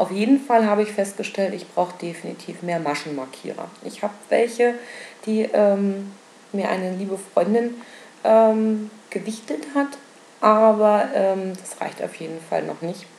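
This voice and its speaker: A woman at a fairly slow pace, with long, frequent pauses over noticeable background noise. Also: medium pitch for a woman, ordinary pitch variation. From Berlin. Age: 20s. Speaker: knitting and spinning podcaster. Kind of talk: casual solo podcast monologue. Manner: many filler sounds (ähm, äh).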